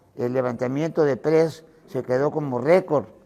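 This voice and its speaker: With a fairly high pitch yet a dark, mellow tone, a man speaks with ordinary pitch variation. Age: 80s+. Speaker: retired bodybuilding champion. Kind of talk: interview. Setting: his gym. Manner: halting, with fillers.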